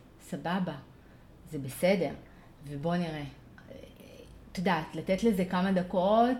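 Speaking at a fairly slow pace with long, frequent pauses, a woman with a fairly low pitch shows ordinary pitch variation amid audible room echo. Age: 40s. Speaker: parent coach. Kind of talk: casual interview conversation.

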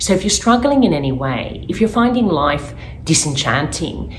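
A woman's moderately paced speech carries noticeable background noise and audible room echo. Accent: Australian. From Australia. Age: 40s. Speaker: life coach. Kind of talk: educational monologue.

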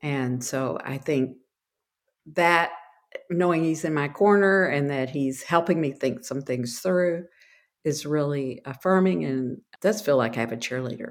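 A woman with a very deep, low voice and a Texan accent, fairly slow in pace, with lively intonation. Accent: Texan American. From Texas. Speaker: ministry worker. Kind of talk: casual interview.

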